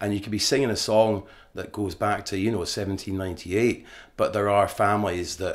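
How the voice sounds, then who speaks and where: A man with a fairly low pitch is heard talking amid audible room echo. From Scotland. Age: 50s. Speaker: musician. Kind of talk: radio interview. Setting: theatre recording for radio.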